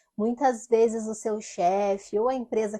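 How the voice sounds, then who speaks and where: A woman speaks in an ordinary speaking voice, fairly high in pitch. Her pace is moderate and her intonation fairly even. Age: 30s. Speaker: former retail sales manager, confectionery delivery owner. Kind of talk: casual talk to camera.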